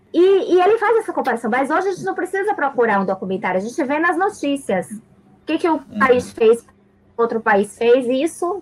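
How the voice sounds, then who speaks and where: A woman with a high pitch talks at a fairly quick pace, her pitch swinging very widely. Noticeable background noise is present. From Salvador, Bahia, Brazil. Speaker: teacher. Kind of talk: casual chat.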